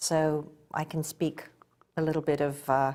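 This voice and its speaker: A woman with an English accent speaks with monotone, flat intonation. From England. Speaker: goldsmith and spa owner. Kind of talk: interview.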